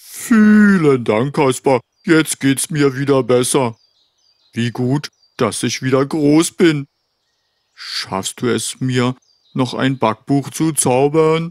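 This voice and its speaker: In a cartoonish character voice, the speaker goes very slowly, with long, frequent pauses. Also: man, medium pitch for a man. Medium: puppet. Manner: pleading, then grateful.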